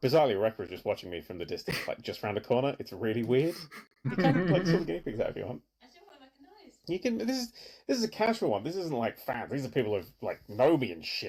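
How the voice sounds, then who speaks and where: Quiet and very fast, a man with a British accent speaks at a fairly high pitch with very wide pitch swings. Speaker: streamer. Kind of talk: casual chat. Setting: home at night, guests asleep. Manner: quiet, avoiding shouting.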